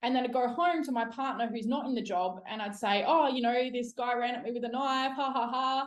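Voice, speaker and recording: The voice has an Australian accent and a fairly quick pace. It shows ordinary pitch variation and hardly any pauses. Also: woman, high pitch for a woman. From South Australia. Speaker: police officer. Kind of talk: interview podcast. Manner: casual.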